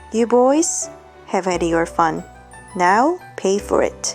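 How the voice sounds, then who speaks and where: A woman speaks in a calm tone with music in the background. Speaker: English teacher. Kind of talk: bedtime storybook reading. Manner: soft, calm.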